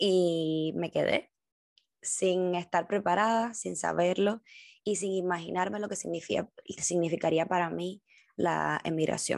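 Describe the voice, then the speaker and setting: Speaking very slowly with a Cuban accent, a woman uses a fairly low pitch and fairly even intonation against a quiet background. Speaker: podcast host, dancer and dance teacher. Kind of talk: personal reflection monologue.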